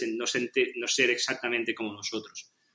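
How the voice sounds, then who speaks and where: With a medium pitch, the man talks in a fairly slow manner. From Catalonia, Spain (Penedès). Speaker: podcast interview guest. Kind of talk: casual interview chat. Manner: halting, many repetitions and fillers.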